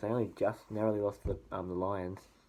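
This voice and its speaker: With an Australian accent, a man speaks very fast in a dark, mellow tone, his fairly low pitch held monotone and flat. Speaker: sports vlogger. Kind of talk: casual sports predictions monologue. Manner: hesitant, many fillers.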